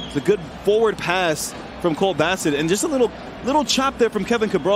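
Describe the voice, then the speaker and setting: A man talks at a very fast pace with lively intonation and a high pitch. Noticeable background noise is present. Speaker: football analyst co-commentator. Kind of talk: co-commentator analysis during live match. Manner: measured, conversational analyst, calmer than play-by-play voice.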